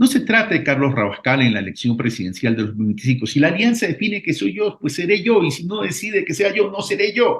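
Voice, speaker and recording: A very fast, high-pitched male voice with very wide pitch swings and hardly any pauses. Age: 60s. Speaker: political candidate. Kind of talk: radio interview.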